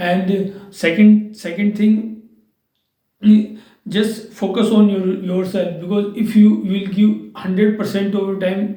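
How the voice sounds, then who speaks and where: In a room with audible echo, a man talks at a fairly slow pace in a high-pitched, dark, mellow voice with monotone, flat intonation. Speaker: English teacher. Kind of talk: tutorial. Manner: halting.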